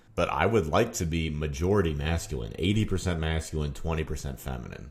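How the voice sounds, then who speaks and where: With vocal fry and a fairly quick pace, a man talks in a very deep, low voice with ordinary pitch variation. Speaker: YouTube commentator. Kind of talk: opinion monologue. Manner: casual, conversational.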